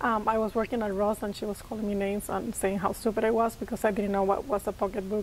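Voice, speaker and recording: A woman talks at a very fast pace. She speaks with a Puerto Rican accent. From Puerto Rico, rural area. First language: Spanish. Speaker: social worker. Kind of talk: interview.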